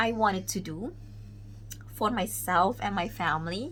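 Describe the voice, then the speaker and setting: A woman's voice with audible room echo. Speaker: vlogger. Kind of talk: casual vlog monologue. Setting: at home, child sleeping nearby. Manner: loud; halting, many fillers.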